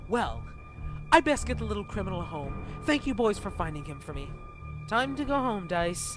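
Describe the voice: A man speaks at a moderate pace in a cartoonish character voice, extremely high-pitched with very wide pitch swings, over clear background music.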